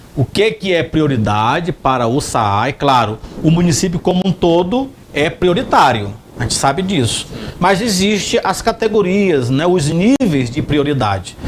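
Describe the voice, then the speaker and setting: With noticeable background noise, a man with a high voice speaks fairly slowly, his pitch swinging very widely while his loudness stays very even. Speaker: TV journalist. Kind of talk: TV interview.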